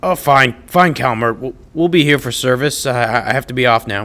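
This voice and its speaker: A raspy, put-on character voice is raised and projected. It moves at a fairly quick pace with ordinary pitch variation. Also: man, medium pitch for a man. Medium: audio drama. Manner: stammering, hesitant.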